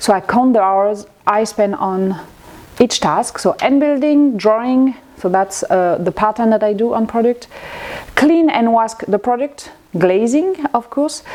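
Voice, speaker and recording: A woman with a French accent at a fairly slow pace, lively in intonation and very even in loudness, over noticeable background noise. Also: fairly high pitch for a woman. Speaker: ceramic artist. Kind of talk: casual tutorial vlog. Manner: halting.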